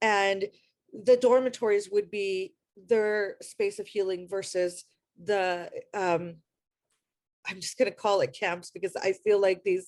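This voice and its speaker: A woman with an Iranian accent speaks at a fairly slow pace in a medium pitch, her intonation fairly even and her speech broken by long, frequent pauses. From US, Afghan immigrant community. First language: Farsi. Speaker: panelist, refugee advocate. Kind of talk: panel discussion.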